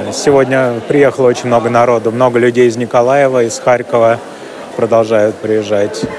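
A man speaks at a medium pitch and a moderate pace, his intonation monotone and flat. Audible room echo and noticeable background noise fill the recording. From Russia. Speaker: intensive care doctor. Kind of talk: voice message report; interview.

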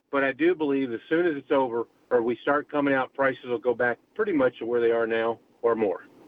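A man talks at a fairly quick pace in an ordinary speaking voice. His pitch is medium, with ordinary variation. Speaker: caller. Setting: in a car; phone call.

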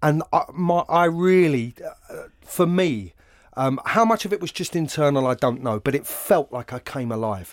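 Speaking at a moderate pace with a London accent, a man sounds dry and close with no echo in a very clean recording with a silent background. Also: fairly high pitch for a man, lively intonation. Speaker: actor. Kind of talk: casual interview conversation. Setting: recorded at a college venue.

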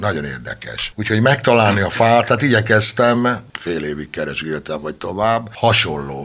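With noticeable background noise behind him, a man speaks at a moderate pace with a fairly low pitch and very wide pitch swings. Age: old. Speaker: violin maker. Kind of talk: interview.

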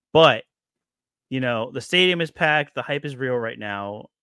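In an ordinary speaking voice, a man keeps a moderate pace. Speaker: podcast host. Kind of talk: casual chat.

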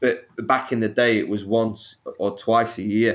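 Speaking with a Sheffield accent, a man at a medium pitch delivers his words in a monotone, flat intonation on a very clean recording with a silent background. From northern England, Sheffield. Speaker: snake keeper and YouTuber. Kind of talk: podcast interview.

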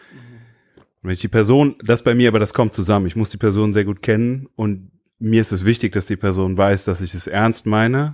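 With an unremarkable speaking voice, a man talks at a fairly low pitch and moderate pace, his intonation fairly even and his loudness swinging widely, on a very clean recording with a silent background. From Germany, Limburg (Hesse). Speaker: pastor. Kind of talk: casual chat.

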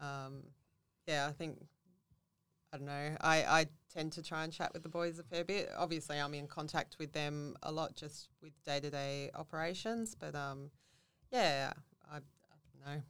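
A woman's very deep, low voice in an Australian accent, fairly even in intonation, with long, frequent pauses and big swings in loudness. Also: moderate pace. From Central Coast, New South Wales, Australia. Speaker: customer service staff. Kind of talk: interview.

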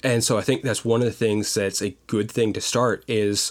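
On a very clean recording with a silent background, a man talks at a fairly quick pace and medium pitch in an unremarkable speaking voice. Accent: American. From Pennsylvania, Pottsville (Schuylkill County coal region). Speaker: youth civics program administrator. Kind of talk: casual interview conversation.

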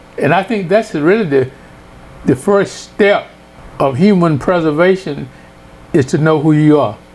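A fairly slow American accent with ordinary pitch variation, very even loudness, long, frequent pauses and noticeable background noise. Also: man, high pitch for a man. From US South, northwest Louisiana (Mansfield). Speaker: retired professor. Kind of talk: life story interview.

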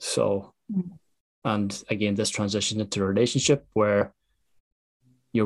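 Speaking at a fairly slow pace, a man talks with an Irish accent. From Ireland. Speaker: podcast host. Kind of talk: interview chat.

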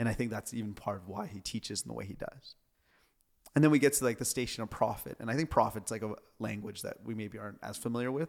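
This is an ordinary speaking voice. Its pitch variation is ordinary too. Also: man. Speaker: pastor. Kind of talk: casual chat.

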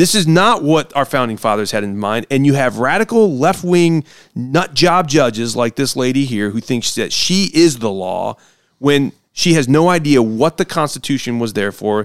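With an American accent, a man speaks at a fairly high pitch and moderate pace, his tone animated and his intonation lively, in a dry, close sound with no echo. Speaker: podcast host and political candidate. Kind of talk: casual chat. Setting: studio.

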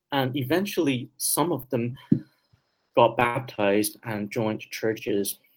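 A man talks at a fairly slow pace. His pitch is medium, with ordinary pitch variation. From Taiwan, raised in Vancouver, Canada. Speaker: philosophy professor. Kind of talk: interview.

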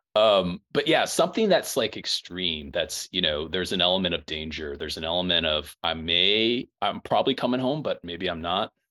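A man at a moderate pace, with hardly any pauses. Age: 40s. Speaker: leadership coach and teacher. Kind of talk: casual interview conversation. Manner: halting, many fillers.

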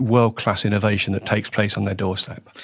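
An unremarkable speaking voice belonging to a man, with fairly even intonation and a medium pitch. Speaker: business development director. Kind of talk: podcast interview.

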